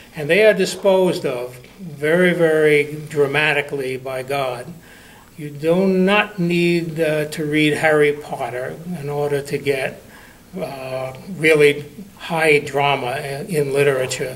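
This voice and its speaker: The speaker has an American accent and talks at a fairly slow pace with fairly even intonation. Audible room echo and noticeable background noise surround the voice. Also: man, fairly high pitch for a man. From New York. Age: 80s+. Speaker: congregant giving a sermon. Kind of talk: sermon.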